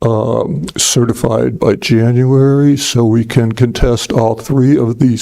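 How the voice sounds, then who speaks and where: A soft-spoken man talks at a medium pitch. His intonation stays fairly even. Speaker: public commenter. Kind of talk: public comment.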